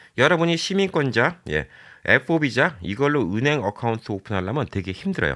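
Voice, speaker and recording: A man talks at a fairly quick pace with vocal fry and very wide pitch swings. The recording is very clean, with a silent background. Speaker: YouTuber giving immigration advice. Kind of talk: informational vlog monologue. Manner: casual, conversational with filler words.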